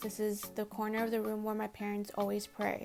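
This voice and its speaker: The speaker is a woman with a fairly high pitch. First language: Tamil. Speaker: DIY home makeover creator. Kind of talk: voiceover narration of a DIY video.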